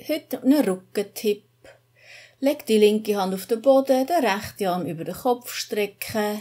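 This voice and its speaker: This woman has a dark, mellow tone and a fairly high pitch, with lively intonation. She talks at a fairly slow pace against a quiet background. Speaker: yoga teacher. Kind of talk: yoga class instruction. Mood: calm, soothing guidance. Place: gym. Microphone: camera far.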